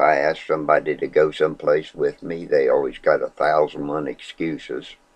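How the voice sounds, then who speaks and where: Speaking at a moderate pace, a man talks with hardly any pauses. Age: 60s. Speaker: vlogger. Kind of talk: personal testimony. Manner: halting.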